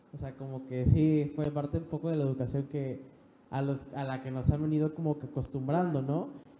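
Monotone, flat intonation at a fairly quick pace. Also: man, fairly high pitch for a man. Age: 20s. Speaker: young guest. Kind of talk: interview. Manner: halting.

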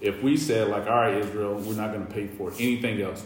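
A man speaks at a fairly quick pace with a Southern US accent. Audible room echo and noticeable background noise surround his voice. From US South, North Carolina. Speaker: podcast co-host. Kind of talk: casual chat. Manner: halting.

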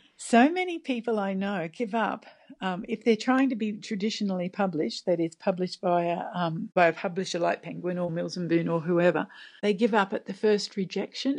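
A woman at medium pitch with an Australian accent, at a moderate pace, with ordinary pitch variation and a quiet background. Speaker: novelist. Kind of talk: interview. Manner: halting.

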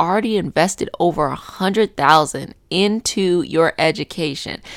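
A woman's animated tone and lively intonation at a moderate pace, dry and close with no echo. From US, northern Virginia (Arlington). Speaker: podcast host, solopreneur. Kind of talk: casual solo monologue.

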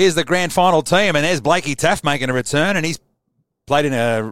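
An enthusiastic man talks in an Australian accent. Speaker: sports fan livestreamer. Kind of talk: live solo sports preview stream. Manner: casual, enthusiastic.

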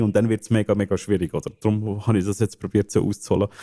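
In a Swiss accent, a dark, mellow voice comes through with a dry, close sound and no echo in a very clean recording over a silent background. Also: man. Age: 30s. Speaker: game studio founder. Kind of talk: interview. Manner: halting, many fillers.

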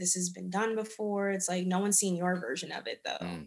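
A woman talks with an American accent. Her pitch is fairly low and her intonation monotone and flat. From Germany (US military family), then DC. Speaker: illustration artist. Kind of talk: casual interview.

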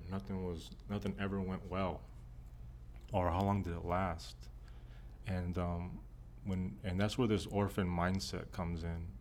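A man with a very deep, low pitch and an American accent, fairly slow and fairly even in intonation, with long, frequent pauses and audible room echo. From Texas. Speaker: pastor. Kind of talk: personal testimony. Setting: church offices.

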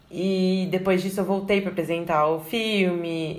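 A woman speaks at a fairly slow pace with fairly even intonation. Room echo is audible. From Brazil, São Paulo. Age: 20s. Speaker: journalist and video editor. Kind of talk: casual interview chat.

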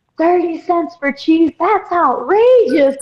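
A woman does a put-on character voice, pitched extremely high, in a strong Southern accent. She speaks at a very slow pace. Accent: thick southern.

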